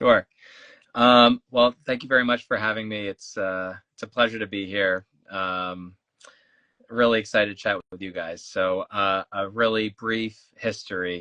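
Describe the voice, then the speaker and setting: A man with an American accent speaks at a fairly low pitch and a fairly slow pace, his tone bright and sharp. His intonation is fairly even, his loudness swings widely, and the sound is dry and close with no echo. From South Jersey near Philadelphia. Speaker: sneaker collector, social media page creator. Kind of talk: interview.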